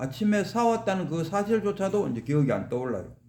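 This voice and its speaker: The tone is dark and mellow, with lively intonation at a fairly quick pace. Audible room echo surrounds the voice. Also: man. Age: 60s. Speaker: Buddhist teacher. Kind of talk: dharma lecture. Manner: conversational, rhetorical questions.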